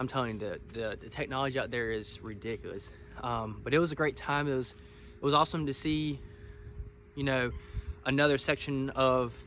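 Against light background noise, a man speaks at a fairly quick pace with fairly even intonation and a bright, sharp tone, the sound dry with no echo. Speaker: woodyard owner vlogger. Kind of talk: casual vlog chat. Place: forest. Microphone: phone near.

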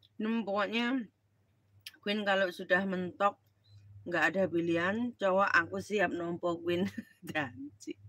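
In a dry recording with no echo, a woman speaks with a bright, sharp tone and long, frequent pauses. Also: ordinary pitch variation, fairly slow pace. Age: middle-aged. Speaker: live streamer. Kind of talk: casual live stream chat. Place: home room. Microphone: phone near.

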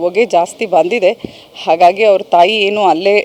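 A woman with an unremarkable speaking voice and fairly even intonation. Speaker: local official briefing media. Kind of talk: on-scene statement to media.

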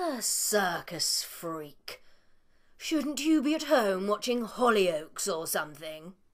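A woman puts on a cartoonish character voice at a medium pitch. She talks fairly slowly, with very wide pitch swings. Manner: scornful, brusque, aggressive.

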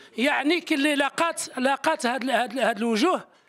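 A man talks at a moderate pace with an extremely high pitch. Noticeable background noise sits behind him. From Algeria, Tizi Ouzou. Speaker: army veteran, former amateur footballer. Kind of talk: interview.

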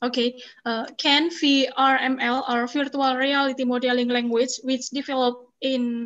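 Speaking in an Indonesian accent, a woman with a high-pitched voice talks at a fairly slow pace in a monotone, flat intonation. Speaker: master of ceremonies; webinar moderator. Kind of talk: event moderation. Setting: video call. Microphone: video call.

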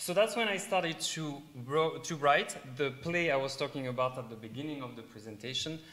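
A man talks at a moderate pace in a French accent. His intonation is lively. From south of France. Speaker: middle school teacher and stage actor. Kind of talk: live presentation to an audience. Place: hall.

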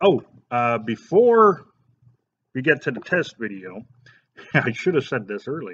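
Light background noise sits behind the voice. A man speaks at a fairly slow pace. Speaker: product reviewer. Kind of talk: product review tutorial. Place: shop. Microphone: webcam.

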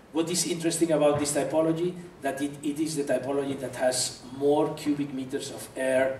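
A man's fairly high voice at a moderate pace, with fairly even intonation, audible room echo and light background noise. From Spain. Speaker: architect; architect giving a lecture. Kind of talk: lecture. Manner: halting. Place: hall. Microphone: podium.

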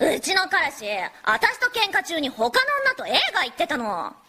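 A put-on character voice from a woman, extremely high-pitched with very wide pitch swings, at a moderate pace. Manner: casual, brash.

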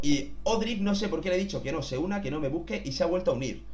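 An animated man with a high voice at a fairly quick pace. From Spain. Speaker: gaming youtuber. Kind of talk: gameplay commentary. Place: home room.

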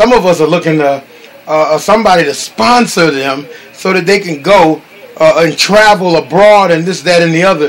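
A man talks at a moderate pace, his pitch high and its variation ordinary. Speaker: minister hosting a call. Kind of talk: sermon.

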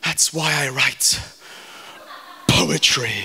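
A man projects his voice loudly. His pace is fairly slow. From England. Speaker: performance poet. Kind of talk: live spoken word poetry performance. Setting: live venue. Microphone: handheld.

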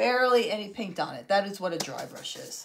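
Noticeable background noise sits behind a woman talking at a fairly quick pace, with a medium pitch and ordinary pitch variation. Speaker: DIY crafts livestream host. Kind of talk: live craft tutorial. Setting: home livestream. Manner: chatty, warm.

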